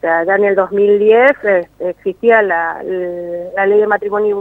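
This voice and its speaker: A woman with a Mendoza accent talks at a medium pitch. Her pace is very slow. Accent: Mendoza Argentine Spanish. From Argentina, Mendoza. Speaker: documentary filmmaker. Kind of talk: interview. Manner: hesitant, many fillers.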